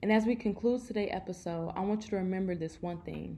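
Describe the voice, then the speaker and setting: A woman speaks with an American accent in a dark, mellow tone. Her voice is somewhat breathy. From Chicago. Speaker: personal finance podcaster. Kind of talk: casual monologue. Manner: animated.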